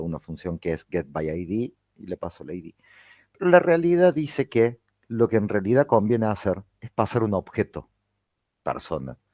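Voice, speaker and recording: A man's dark, mellow tone with ordinary pitch variation and big swings in loudness. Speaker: university lecturer. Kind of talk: lecture. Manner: fast.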